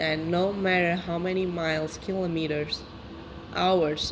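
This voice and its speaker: Over noticeable background noise, the speaker talks at a very slow pace with a non-native accent and fairly even intonation. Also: woman. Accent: foreign. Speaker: podcast host. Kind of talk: solo monologue. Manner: casual, rambling.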